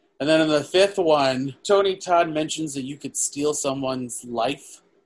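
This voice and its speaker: His pitch is fairly high and varies in an ordinary way. A man, in a normal speaking voice, keeps a moderate pace. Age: 30s. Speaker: podcast co-host, film reviewer. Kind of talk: casual chat.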